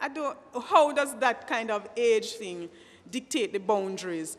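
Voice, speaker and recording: Her pitch swings very widely as the woman talks at a moderate pace. There is noticeable background noise throughout. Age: young. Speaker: teacher. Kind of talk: panel discussion. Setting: at a microphone before an audience. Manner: halting.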